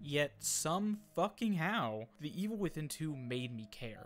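Music plays behind a man with a fairly high voice. His tone is animated and his intonation lively. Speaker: gaming video essayist. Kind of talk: scripted narration. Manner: comedic, animated.

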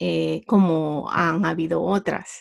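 A woman with a Honduran accent speaks at a fairly low pitch with ordinary pitch variation. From Honduras. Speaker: entrepreneur. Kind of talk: interview. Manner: halting.

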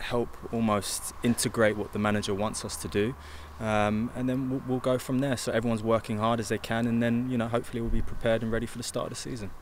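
A man at a very fast pace, fairly even intonation, dry sound with no echo and light background noise. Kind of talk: interview answer. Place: stadium. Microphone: handheld.

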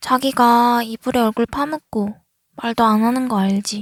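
A high-pitched woman at a very slow pace, with fairly even intonation and a dry, close sound with no echo. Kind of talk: ASMR roleplay, girlfriend waking her boyfriend. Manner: soft-spoken, affectionate.

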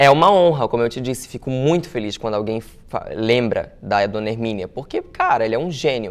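Ordinary pitch variation shapes a man's medium-pitched speech, which moves at a moderate pace. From Santa Catarina coast (Itajaí), Brazil; Santa Catarina, Brazil. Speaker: actor and comedian; actor, comedian. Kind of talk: interview. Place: studio.

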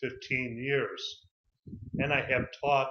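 A man with an American accent talks at a fairly slow pace. Audible room echo surrounds his voice. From Chicago, USA. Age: 50s. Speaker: English teacher. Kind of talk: self-introduction video for a CV. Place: home room. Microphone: webcam.

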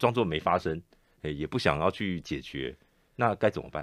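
With a Taiwanese accent and very wide pitch swings, a man speaks in a dry sound with no echo. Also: quiet background. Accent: Taiwanese Mandarin. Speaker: radio host. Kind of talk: radio interview. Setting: studio. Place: studio. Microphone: studio mic.

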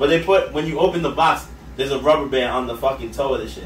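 There is audible room echo and light background noise as a man speaks at a very fast pace. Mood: joking, laughing. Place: home room.

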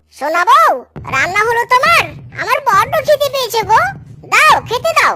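A cartoonish character voice with a bright, sharp tone runs at a moderate pace. Its pitch swings widely up and down.

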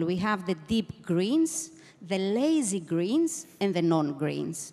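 The voice moves at a fairly slow pace, with very wide swings in pitch. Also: woman. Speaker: panelist. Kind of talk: panel discussion answer. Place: stage. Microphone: handheld.

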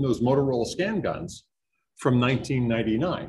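A man with a New England accent speaks in an energetic, somewhat breathy tone. Audible room echo surrounds his voice. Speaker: network systems engineer. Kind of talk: conference talk. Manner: fast.

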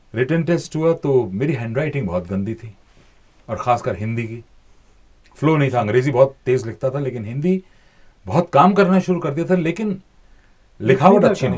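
A man's somewhat breathy voice at a fairly slow pace, with very wide pitch swings, big swings in loudness, long, frequent pauses and a quiet background. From India. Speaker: voice-over artist and former TV news anchor. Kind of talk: interview answer. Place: studio. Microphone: studio mic.

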